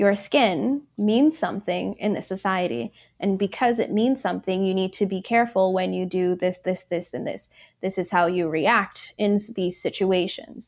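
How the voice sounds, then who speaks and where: An ordinary speaking voice moves at a moderate pace with lively intonation in a very clean recording with a silent background. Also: woman, medium pitch for a woman. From Michigan, born in Ethiopia. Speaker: bike event organizer. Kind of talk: interview.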